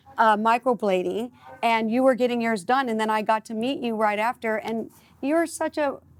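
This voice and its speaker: A woman's fairly high voice with a slight Midwestern US accent and ordinary pitch variation. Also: moderate pace. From US Midwest. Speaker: talk show host. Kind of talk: casual interview chat. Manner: animated.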